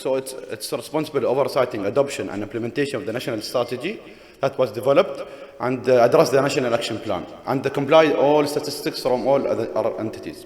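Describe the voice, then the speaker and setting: With noticeable background noise and audible room echo, a man talks at a very fast pace in a fairly high pitch with ordinary pitch variation. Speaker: government official. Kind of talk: conference presentation. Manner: halting.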